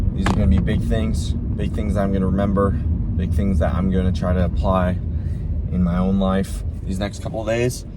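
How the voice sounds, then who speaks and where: Very deep, low male voice with lively intonation, audible room echo and noticeable background noise. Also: moderate pace. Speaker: vlogger and athlete. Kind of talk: casual vlog talk. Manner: mumbling.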